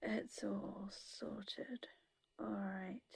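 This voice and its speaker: A woman with a British accent speaks at a very slow pace, in a very clean recording with a silent background and a dry, close sound with no echo. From UK. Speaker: crafter. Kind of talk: tutorial.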